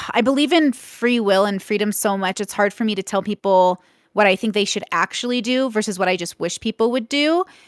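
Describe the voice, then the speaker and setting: A woman with an unremarkable speaking voice, fairly high in pitch with ordinary pitch variation, talks at a fairly quick pace with hardly any pauses, on a very clean, dry, close recording with no echo and a silent background. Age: 30s. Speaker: content creator, debate guest. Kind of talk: panel debate interview.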